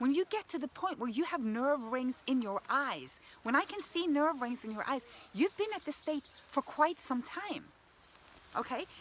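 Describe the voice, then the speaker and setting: A woman with a high voice, enthusiastic and lively in intonation, at a moderate pace. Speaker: health coach. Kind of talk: motivational vlog talk. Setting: outdoors in the woods.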